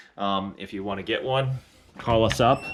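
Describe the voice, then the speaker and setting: A man talks fairly slowly, and his pitch varies in an ordinary way. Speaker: performance shop owner hosting live stream. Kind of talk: live stream update and Q&A. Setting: auto shop, live stream. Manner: casual, lots of fillers.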